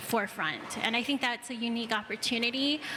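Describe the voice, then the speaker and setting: A woman talks at a fairly quick pace with monotone, flat intonation. There is noticeable background noise. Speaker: audience member. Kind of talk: audience contribution at panel Q&A.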